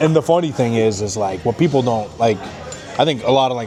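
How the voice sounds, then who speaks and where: A man talks at a fairly quick pace in an animated tone with lively intonation. Music plays in the background. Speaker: former pro football player and radio analyst. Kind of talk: casual chat. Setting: steakhouse dinner. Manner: loud.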